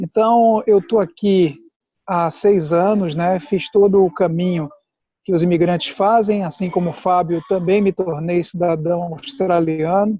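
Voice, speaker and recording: A man speaks with a high pitch and a dark, mellow tone, his intonation fairly even and the sound dry and close with no echo. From Brazil, Pernambuco. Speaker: immigration consultant. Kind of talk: casual chat. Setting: video call.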